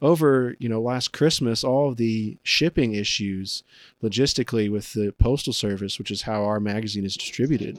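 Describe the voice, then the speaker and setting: An ordinary speaking voice from a man with an American accent, medium pitch, ordinary pitch variation and a moderate pace, dry and close with no echo, on a very clean recording with a silent background. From Indiana. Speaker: podcast host. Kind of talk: interview.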